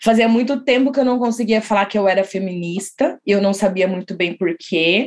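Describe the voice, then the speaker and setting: With an ordinary speaking voice, a woman talks at a moderate pace and medium pitch, using ordinary pitch variation and hardly any pauses. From São Paulo state interior, São José dos Campos. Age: 20s. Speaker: co-founder of a recruitment consultancy, public relations professional. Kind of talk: podcast interview.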